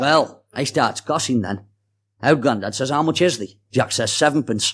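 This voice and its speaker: A man with a Staffordshire accent speaks at a medium pitch in a very clean recording with a silent background. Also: ordinary pitch variation, moderate pace. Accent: Stoke-on-Trent (Potteries). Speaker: storyteller and author. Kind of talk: reading aloud a dialect story.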